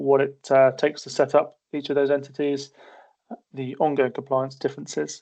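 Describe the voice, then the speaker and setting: A man speaks in a monotone with flat intonation. His voice is fairly high, with a dark, mellow tone. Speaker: accountant and business advisor presenting a webinar. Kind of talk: webinar presentation. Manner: hesitant, many fillers and repetitions.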